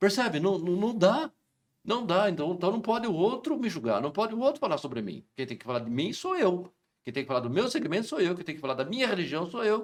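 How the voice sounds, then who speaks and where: With very wide pitch swings, a man talks fairly quickly in a high-pitched voice. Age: 60s. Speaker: lawyer. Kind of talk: interview answers. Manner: emphatic.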